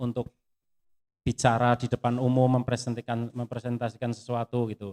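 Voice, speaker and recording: This is a man's voice. He speaks with a strong Javanese accent. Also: dry, close sound with no echo. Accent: strong Javanese (medok) accent in English. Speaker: footwear industry pattern engineer. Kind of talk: sharing session interview.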